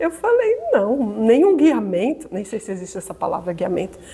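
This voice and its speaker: A woman at a moderate pace with very wide pitch swings, over noticeable background noise. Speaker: spiritist lecturer. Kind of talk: lecture.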